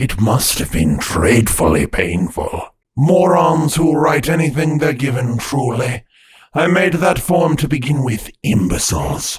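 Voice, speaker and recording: A man does a raspy put-on character voice at a fairly high pitch. He talks at a fairly slow pace. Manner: cold, condescending.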